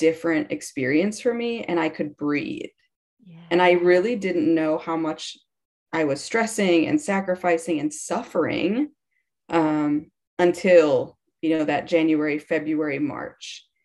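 A woman with an American accent and a fairly low pitch speaks at a fairly slow pace, with ordinary pitch variation and big swings in loudness. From Wisconsin, US Midwest. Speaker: small business owner. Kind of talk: interview.

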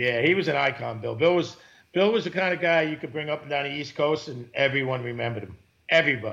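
A man's fairly high, bright and sharp voice with a New York accent, very fast, with ordinary pitch variation and big swings in loudness. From New York, Queens (Broad Channel). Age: 50s. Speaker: commercial tuna fisherman. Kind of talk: casual interview.

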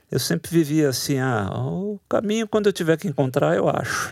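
A man's voice swings very widely in pitch. The sound is dry and close with no echo, on a very clean recording with a silent background. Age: 60s. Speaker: writer and literature professor. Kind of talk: interview.

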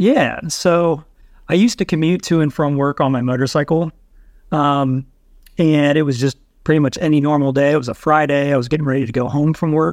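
With an American accent, this man has a plain, everyday voice, fairly high in pitch with ordinary pitch variation and very even loudness over a quiet background. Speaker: YouTuber with spinal cord injury. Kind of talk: casual chat.

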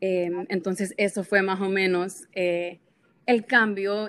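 A woman talks at a fairly slow pace. Her pitch is medium, and her intonation stays fairly even. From Honduras. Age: 20s. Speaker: social media influencer. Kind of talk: interview.

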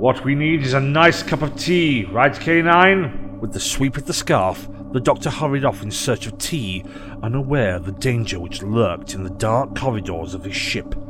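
Music plays in the background as a man at a medium pitch speaks at a moderate pace with very wide pitch swings. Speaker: audiobook narrator. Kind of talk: literary audiobook reading, scripted fan fiction narration. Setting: fan-made audio production. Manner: animated, dramatic storyteller voicing characters; expressive, theatrical.

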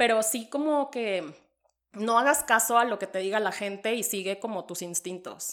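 A woman speaks in a normal speaking voice at a fairly high pitch with lively intonation. Her pace is moderate, and the recording is very clean with a silent background. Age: 30s. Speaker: podcast co-host. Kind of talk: casual chat.

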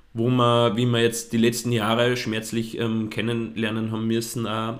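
In a room with audible echo, a man speaks at a moderate pace and medium pitch. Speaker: podcast co-host, fashion blogger. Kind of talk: casual chat.

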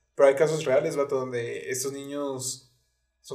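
A man speaks with a Mexican accent at a medium pitch. His intonation is monotone and flat. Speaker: podcast co-host. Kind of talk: casual chat.

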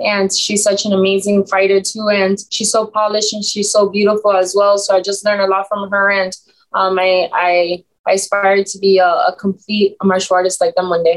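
A woman with an American accent talks at a moderate pace and medium pitch. Her intonation is monotone and flat. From Miami, Florida (Cuban American). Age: 20s. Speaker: mixed martial arts fighter. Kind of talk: interview.

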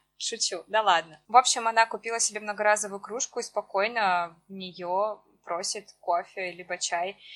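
A woman's unremarkable speaking voice at medium pitch, with fairly even intonation. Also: moderate pace. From Russia, Siberia (Achinsk). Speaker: podcast co-host. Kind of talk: casual chat.

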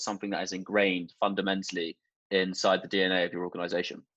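A man with a fairly low voice rattles along at a very fast pace over a quiet background. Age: 20s. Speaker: podcast host. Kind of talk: casual chat.

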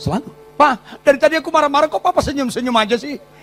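A man speaks in an animated tone. Noticeable background noise sits behind him. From Batak, North Sumatra, Indonesia. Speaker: pastor. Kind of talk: sermon. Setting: church.

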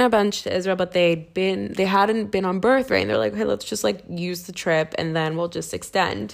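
A woman speaks with a Philadelphia accent at a medium pitch. She leaves hardly any pauses. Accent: Philadelphia American. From US Northeast, Philadelphia. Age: 20s. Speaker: podcast host. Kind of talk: casual monologue.

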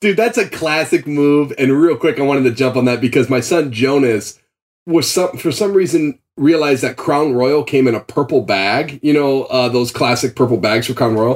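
A man with an American accent has an ordinary speaking voice at fairly high pitch. He talks at a moderate pace with very even loudness and ordinary pitch variation.

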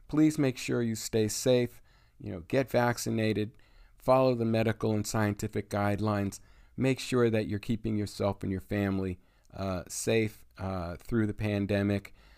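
Here is an unremarkable speaking voice from a man with an American accent, at a moderate pace with ordinary pitch variation. The recording is very clean, with a silent background. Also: fairly low pitch for a man. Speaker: radio host. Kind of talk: radio DJ patter. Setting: radio show, internet radio. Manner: fluent, with filler words.

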